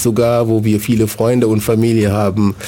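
Noticeable background noise surrounds a man who talks at a moderate pace and a fairly low pitch. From Senegal. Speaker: city integration coordinator. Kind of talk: radio interview. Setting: radio studio. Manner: hesitant, many fillers.

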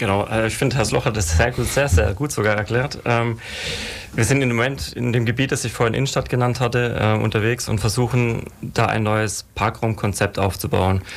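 A man talks at a moderate pace with ordinary pitch variation and very even loudness. Noticeable background noise runs behind him. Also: medium pitch for a man. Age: 40s. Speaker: city traffic planning official. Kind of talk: radio panel discussion. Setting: radio studio.

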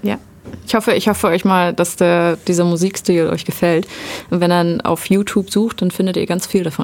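A normal speaking voice from a woman, fairly low-pitched, moderately paced, and fairly even in intonation. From southern Germany (Ulm), born in eastern Germany. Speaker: mechatronics technician. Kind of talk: radio interview.

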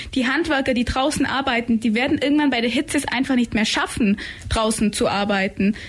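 A woman's high-pitched voice at a fairly quick pace, with ordinary pitch variation, very even loudness and noticeable background noise. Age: 20s. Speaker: climate activist. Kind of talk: radio interview. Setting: radio studio.

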